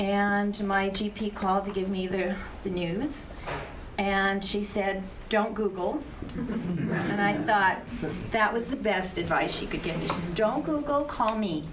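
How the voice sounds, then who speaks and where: Amid noticeable background noise and audible room echo, a woman speaks fairly slowly at a medium pitch with ordinary pitch variation. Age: 70s. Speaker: cancer survivor on a panel. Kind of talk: personal testimony.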